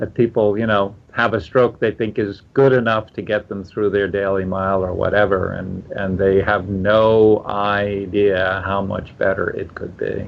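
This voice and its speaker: A man speaks at a fairly slow pace with hardly any pauses. His intonation is monotone and flat. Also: fairly low pitch for a man. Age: 60s. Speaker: swim coach. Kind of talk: podcast interview. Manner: halting.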